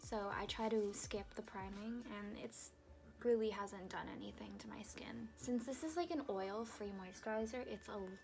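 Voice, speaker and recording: A woman talks at a moderate pace, with audible echo in the room. Background noise is noticeable throughout. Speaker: beauty vlogger. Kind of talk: makeup tutorial. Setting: dorm room. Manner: casual, filler-heavy; quiet at times.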